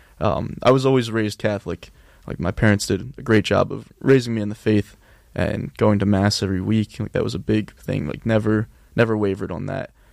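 With an unremarkable speaking voice, a man talks at a fairly low pitch using fairly even intonation. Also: fairly quick pace. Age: 20s. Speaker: college student. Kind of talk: casual interview chat. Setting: studio.

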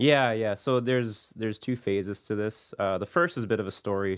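A man's fairly low voice with ordinary pitch variation, in a very clean recording over a silent background. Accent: Canadian. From Ontario, Canada (St. Catharines). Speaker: church member and father. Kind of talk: personal testimony interview.

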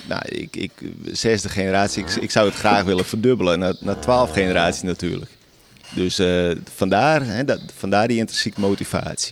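With music in the background, a man talks at a moderate pace in a fairly low pitch with ordinary pitch variation. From Friesland. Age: 30s. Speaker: dairy farmer. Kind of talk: field interview. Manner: halting.

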